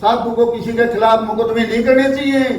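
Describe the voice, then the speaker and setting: An extremely high-pitched man's voice, with audible room echo and noticeable background noise. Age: 60s. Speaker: local activist. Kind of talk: public speech. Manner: emphatic.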